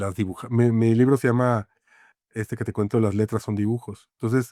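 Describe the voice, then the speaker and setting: At a fairly quick pace, a man talks in a dark, mellow tone at medium pitch with monotone, flat intonation, the sound dry and close with no echo on a very clean recording with a silent background. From Mexico City. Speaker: graphic designer and author. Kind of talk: interview conversation. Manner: halting, many fillers.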